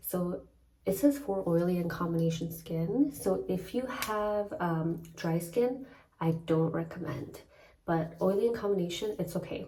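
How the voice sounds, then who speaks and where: A woman whispers, somewhat breathy and fairly slow, with audible room echo around her. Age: 30s. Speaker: lifestyle vlogger. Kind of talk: casual vlog talk. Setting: hotel room. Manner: whispering.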